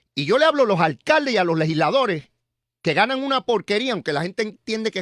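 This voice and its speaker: A man talks at a very fast pace with lively intonation. The recording is very clean, dry and close, with no echo and a silent background. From Puerto Rico (San Juan, Río Piedras). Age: 60s. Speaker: political commentator. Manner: animated.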